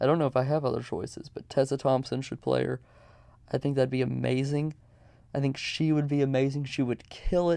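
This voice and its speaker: A man's dark, mellow tone in monotone, flat intonation. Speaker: podcast host. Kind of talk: casual chat. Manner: halting.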